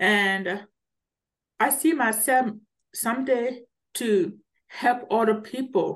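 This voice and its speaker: A woman with a Liberian accent talks with ordinary pitch variation. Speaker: author and public speaker. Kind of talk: podcast interview. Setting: video call.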